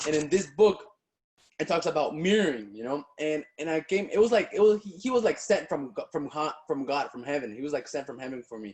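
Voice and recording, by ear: A man talks at a fairly quick pace in a fairly high pitch, his intonation lively. There's a slightly husky edge over a slightly mellow tone.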